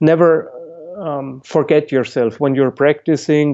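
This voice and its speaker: A man with a non-native accent talks at a fairly slow pace in a fairly high pitch with monotone, flat intonation. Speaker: musician and Alexander Technique teacher. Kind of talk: podcast interview. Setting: call. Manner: halting.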